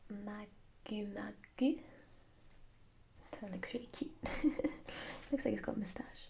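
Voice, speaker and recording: In a British accent, a woman talks at a fairly slow pace with a relaxed tone and long, frequent pauses. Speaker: ASMR creator and mathematics master's student. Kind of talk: ASMR flip-through, casual talk to camera. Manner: soft-spoken, relaxed, slow.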